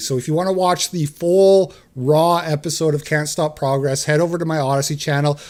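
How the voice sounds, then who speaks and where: Loud male voice pitched high, with ordinary pitch variation. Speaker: podcast host. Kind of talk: live stream talk show.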